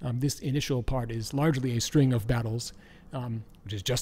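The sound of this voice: The reading voice here is unforced. Intonation stays fairly even.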